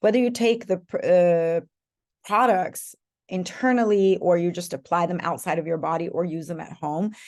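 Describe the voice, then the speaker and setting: With a non-native accent, a woman talks at a moderate pace in a fairly low pitch with ordinary pitch variation against a quiet background. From Europe. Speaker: essential oils sales leader. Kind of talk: live online class.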